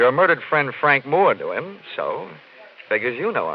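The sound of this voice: A man puts on a character voice with a slightly husky edge and very wide pitch swings. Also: medium pitch for a man, moderate pace.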